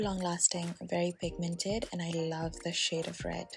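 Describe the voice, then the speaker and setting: A woman at a moderate pace, somewhat breathy, with a fairly low pitch. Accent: Bengali. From India, Assam. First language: Bengali. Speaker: beauty vlogger. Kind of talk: makeup tutorial.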